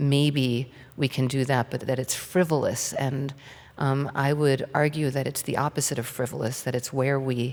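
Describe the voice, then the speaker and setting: Monotone, flat delivery at a moderate pace. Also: woman, very deep, low pitch for a woman. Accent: American. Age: 60s. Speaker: author. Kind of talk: on-stage interview. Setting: stage with audience.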